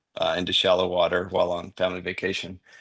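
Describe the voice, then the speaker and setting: A man speaks at a fairly quick pace with a North Carolina accent. His pitch is very deep and low, and the background is quiet. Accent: Southern US (North Carolina). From US South, North Carolina. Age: 30s. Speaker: podcast guest, wheelchair user sharing faith story. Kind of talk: testimony. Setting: podcast interview.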